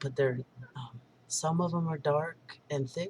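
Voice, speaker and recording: Intonation is fairly even throughout. There is a somewhat breathy quality to the voice. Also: man. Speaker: video blogger. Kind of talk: personal video diary. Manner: slower, more monotone when trying; halting, many fillers.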